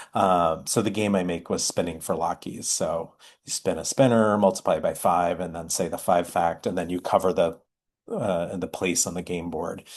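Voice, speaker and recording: In a quiet background, a man with a very deep, low pitch speaks at a moderate pace with fairly even intonation. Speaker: math education presenter. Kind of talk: online workshop presentation.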